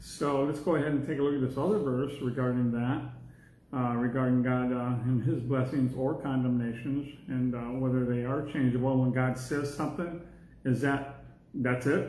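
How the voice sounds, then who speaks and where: A man at a moderate pace with fairly even intonation and audible room echo. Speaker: Bible class teacher. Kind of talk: lecture. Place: classroom. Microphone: phone near.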